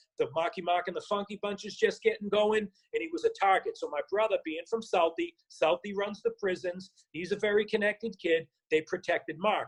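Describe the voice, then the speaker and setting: A man speaks with a strong Boston accent at a fairly quick pace. The sound is dry and close, with no echo. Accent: Boston accent, still strong. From Boston, Massachusetts (South Boston). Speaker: actor and former rapper. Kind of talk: casual interview storytelling. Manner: animated.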